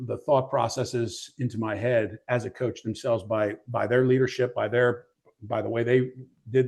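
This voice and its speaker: Monotone, flat delivery from a somewhat breathy man, medium in pitch, at a moderate pace over a quiet background. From Middletown, Pennsylvania, US. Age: 50s. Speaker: gym owner and cheer coach. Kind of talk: interview. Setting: live studio audience.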